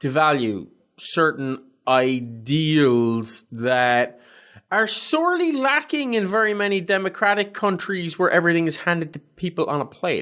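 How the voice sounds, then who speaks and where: In an Irish accent, a high-pitched man swings very widely in pitch at a moderate pace. The recording is very clean with a silent background. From Ireland. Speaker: podcast co-host, army veteran. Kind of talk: casual chat.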